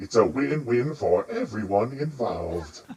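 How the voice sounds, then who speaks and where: In a put-on character voice, a man speaks at a moderate pace and a medium pitch. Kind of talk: fantasy roleplay voice. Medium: actual play. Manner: formal, deliberate.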